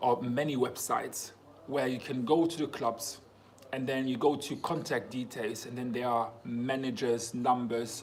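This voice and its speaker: A man's animated, medium-pitched voice at a fairly slow pace, with noticeable background noise and audible room echo. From Germany, Congolese parents. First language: German and French. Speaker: footballer vlogger. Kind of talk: casual Q&A vlog. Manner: casual, animated.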